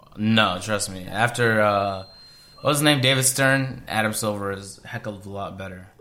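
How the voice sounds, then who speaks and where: A man with a fairly low pitch speaks at a moderate pace, showing ordinary pitch variation and big swings in loudness. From Canada. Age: 20s. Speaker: basketball podcast co-host. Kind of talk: casual chat. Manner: animated.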